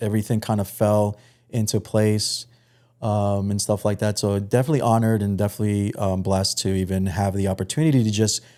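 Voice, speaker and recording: In a New York accent, a man speaks at a fairly quick pace with a fairly low pitch and a dark, mellow tone. His intonation stays fairly even, and the recording is very clean with a silent background. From New York, Long Island (Suffolk County). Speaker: podcast host guest. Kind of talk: casual chat. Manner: hesitant, many fillers and repetitions.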